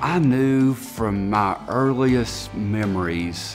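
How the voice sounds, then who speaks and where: A man speaks with clear music playing in the background. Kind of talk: interview answer. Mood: reflective, warm. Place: workshop. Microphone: lapel.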